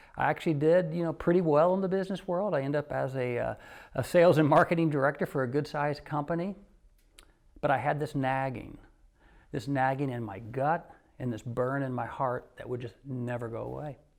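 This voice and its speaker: The recording is very clean, with a silent background. A man speaks at a fairly quick pace, his fairly high pitch showing ordinary variation. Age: 60s. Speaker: photographer. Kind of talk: interview answer. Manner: casual, hesitant.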